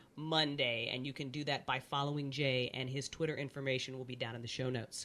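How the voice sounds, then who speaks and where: The voice is bright and sharp, animated in tone, with an American accent. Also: woman. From US South (Virginia, North Carolina). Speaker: podcast host. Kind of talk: podcast interview intro.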